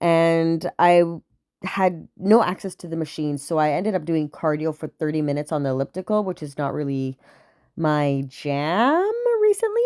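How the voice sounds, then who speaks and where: Animated in tone, a woman with a fairly low pitch speaks at a moderate pace on a very clean recording with a silent background and a dry, close sound with no echo. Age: 20s. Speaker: travel vlogger. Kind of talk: casual vlog narration.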